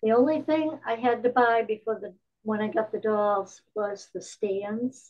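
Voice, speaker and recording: The woman speaks at a fairly slow pace. Her pitch is fairly high, with ordinary variation. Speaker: retired teacher and volunteer storyteller. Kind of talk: casual chat. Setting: video call.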